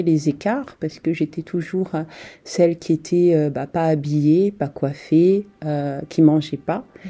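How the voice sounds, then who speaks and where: A woman's dark, mellow tone at a fairly slow pace against a quiet background. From France. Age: young. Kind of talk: testimony. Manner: animated.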